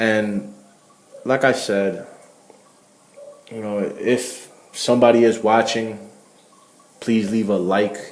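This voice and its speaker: Speaking very slowly with long, frequent pauses, a man of medium pitch keeps a monotone, flat intonation in audible room echo. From Connecticut, Puerto Rican family. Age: young. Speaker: vlogger. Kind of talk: vlog monologue. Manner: repetitive, hesitant restarts.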